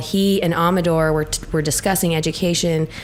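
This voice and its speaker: A woman with an American accent speaks at a fairly quick pace in a fairly low voice with fairly even intonation, over noticeable background noise. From central Idaho. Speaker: legislative candidate. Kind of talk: podcast interview. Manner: loud.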